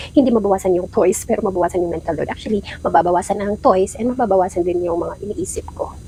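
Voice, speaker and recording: A woman talking at a very fast pace over noticeable background noise. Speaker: mom vlogger. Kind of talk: vlog narration. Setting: at home. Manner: soft-spoken.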